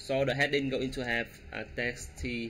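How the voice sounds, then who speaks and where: A man's bright, sharp, medium-pitched voice, fairly slow and monotone, with flat intonation. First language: not English. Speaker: web development tutorial creator. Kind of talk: coding tutorial. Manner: halting, many fillers.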